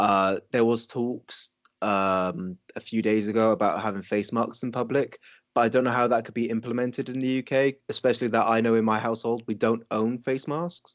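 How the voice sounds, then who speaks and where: A man with an American accent, moderate pace and fairly even intonation. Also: medium pitch for a man. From Wales. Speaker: podcast co-host. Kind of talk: casual chat.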